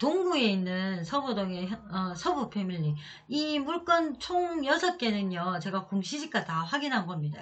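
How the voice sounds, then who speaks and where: Somewhat breathy, a woman speaks at a moderate pace with a medium pitch that makes very wide pitch swings. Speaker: real estate auction consultant. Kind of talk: tutorial.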